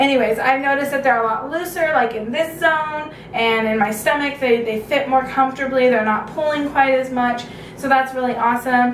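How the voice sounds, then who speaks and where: There is noticeable background noise and audible room echo. The speaker, with an American accent, talks at a fairly quick pace with hardly any pauses and fairly even intonation. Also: woman, high pitch for a woman. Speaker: video blogger. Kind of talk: casual vlog update.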